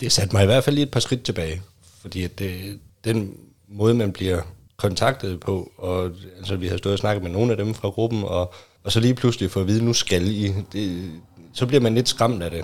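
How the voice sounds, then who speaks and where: Against a silent background on a very clean recording, a man speaks at fairly low pitch with ordinary pitch variation. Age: 30s. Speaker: newcomer to open relationships. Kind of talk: casual chat. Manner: halting.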